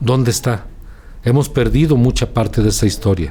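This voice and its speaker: In an ordinary speaking voice, a man talks at medium pitch and a fairly quick pace with fairly even intonation. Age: 60s. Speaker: journalist. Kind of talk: interview.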